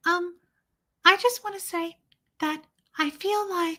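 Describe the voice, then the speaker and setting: In a put-on character voice with an extremely high pitch, a woman speaks at a fairly slow pace using fairly even intonation. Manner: soft, sweet, meek.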